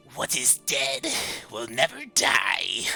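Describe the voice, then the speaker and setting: Clear music plays behind a put-on character voice. The pitch sits low-to-middle. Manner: tickling, ominous, small.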